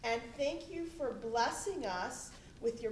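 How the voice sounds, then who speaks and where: The voice is loud with very wide pitch swings, set against noticeable background noise and audible room echo. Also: woman. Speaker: school administrator. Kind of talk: thank-you speech. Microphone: no microphone.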